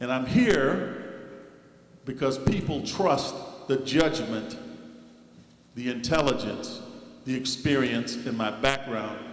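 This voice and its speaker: Amid noticeable background noise and audible room echo, a man speaks very slowly. His pitch is medium and his intonation fairly even. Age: 60s. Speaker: village trustee. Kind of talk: public meeting statement. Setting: village board meeting.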